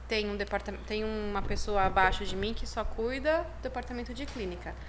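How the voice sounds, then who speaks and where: The woman speaks at a moderate pace. Audible room echo and noticeable background noise surround her. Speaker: chiropractic professor and university program head. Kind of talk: podcast interview, casual chat.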